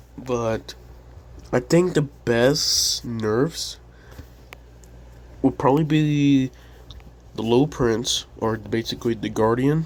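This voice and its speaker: Quiet and at a very slow pace, a man speaks with long, frequent pauses. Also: medium pitch for a man, ordinary pitch variation. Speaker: gaming YouTuber. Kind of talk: casual commentary. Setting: home at night. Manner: quiet, held-down voice. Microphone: poor audio.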